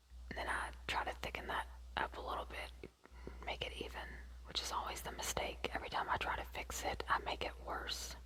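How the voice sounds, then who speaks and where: A woman whispering at a fairly quick pace, with noticeable background noise. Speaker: ASMR creator. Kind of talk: ASMR get ready with me, casual talk to camera. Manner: soft-spoken; whispered.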